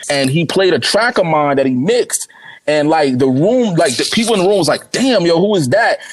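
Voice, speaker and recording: Speaking at a fairly quick pace in an American accent, the voice swings very widely in pitch over noticeable background noise. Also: man. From Newark, New Jersey. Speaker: rapper. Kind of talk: casual interview chat. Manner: casual, repetitive filler speech.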